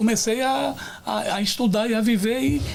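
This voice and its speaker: In a room with audible echo, a man speaks in a dark, mellow tone that is somewhat breathy. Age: 60s. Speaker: pastor. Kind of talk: testimony. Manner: halting.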